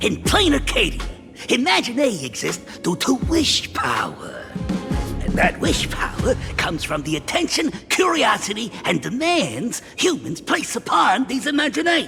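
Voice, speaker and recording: A man's put-on character voice at an extremely high pitch, with very wide pitch swings and clear music in the background. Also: moderate pace. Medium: machinima. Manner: chuckling, folksy, hesitant fillers.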